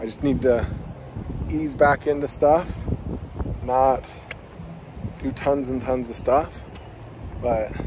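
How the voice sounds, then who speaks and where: Amid noticeable background noise, a man speaks at a very slow pace with long, frequent pauses and ordinary pitch variation, in a dry sound with no echo. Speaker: vlogger. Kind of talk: casual vlog chat. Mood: happy, relieved.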